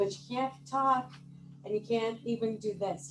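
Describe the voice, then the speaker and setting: A loud voice over music in the background. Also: woman. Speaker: meeting timer. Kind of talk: meeting report. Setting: hybrid club meeting with microphone and Zoom.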